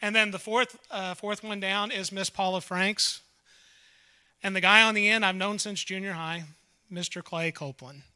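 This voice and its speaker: On a very clean recording with a silent background, a man projects a raised voice with a bright, sharp tone and high pitch. He keeps a moderate pace and fairly even intonation. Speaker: gospel singer. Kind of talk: stage introduction.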